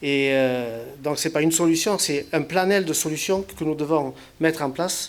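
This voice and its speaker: A man speaks at a fairly slow pace in a fairly high pitch with ordinary pitch variation. Noticeable background noise runs underneath. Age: 60s. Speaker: local elected official, retired railway worker. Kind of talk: public speech. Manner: halting, many hesitations and repetitions.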